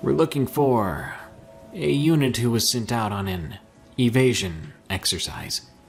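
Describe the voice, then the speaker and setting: With clear music in the background, a man does a gruff, put-on character voice at a medium pitch and moderate pace, using very wide pitch swings. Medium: read story. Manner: stern, terse, commanding.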